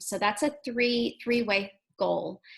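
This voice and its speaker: On a very clean recording with a silent background, a woman with a fairly high pitch speaks at a fairly slow pace with ordinary pitch variation. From Austin, Texas. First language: Spanish. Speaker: former bilingual teacher and parent advocate. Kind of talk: interview.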